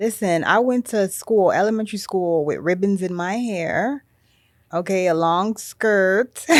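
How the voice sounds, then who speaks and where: A woman speaks at a fairly slow pace. Her voice sits at medium pitch with ordinary pitch variation. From Miami (Little Haiti). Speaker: podcast host. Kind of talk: casual chat.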